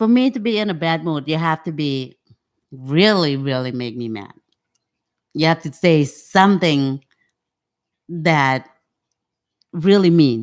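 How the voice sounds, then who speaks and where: With a Cambodian accent, a woman speaks fairly slowly in a very deep, low pitch, her intonation lively and her pauses long and frequent. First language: Khmer. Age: old. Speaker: podcast guest. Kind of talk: casual interview chat.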